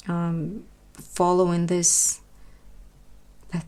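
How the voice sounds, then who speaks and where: In a Russian accent, a woman speaks with a fairly low pitch on a very clean recording with a silent background. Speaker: knitting tutor. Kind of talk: tutorial. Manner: slow; halting.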